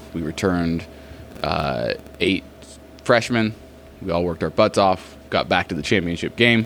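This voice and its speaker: A man with an American accent and a very deep, low pitch speaks with ordinary pitch variation and long, frequent pauses. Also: moderate pace. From US, Oregon coast. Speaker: basketball skills trainer. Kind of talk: casual interview.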